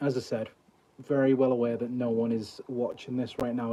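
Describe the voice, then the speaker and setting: This man has a Liverpool accent and a dark, mellow tone. His pitch is medium and his pace moderate. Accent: Scouse. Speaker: mentalist streamer. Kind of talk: casual live stream chat. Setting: mobile livestream. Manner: halting.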